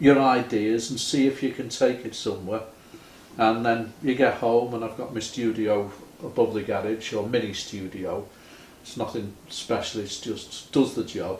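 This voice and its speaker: Somewhat breathy man with a Liverpool accent, medium pitch, fairly even intonation and a moderate pace. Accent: Liverpool (Scouse). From Liverpool, England. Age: 70s. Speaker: retired musician. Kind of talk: casual chat.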